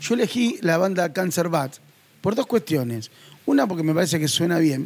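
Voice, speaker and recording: The speaker talks at a fairly quick pace with a Rioplatense accent. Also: man. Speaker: podcast host. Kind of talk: casual chat.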